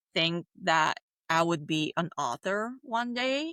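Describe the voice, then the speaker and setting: Over a very clean, silent background, a woman with a Bulgarian accent speaks in a bright, sharp tone with lively intonation and a dry, close sound with no echo. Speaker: children's book author. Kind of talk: interview.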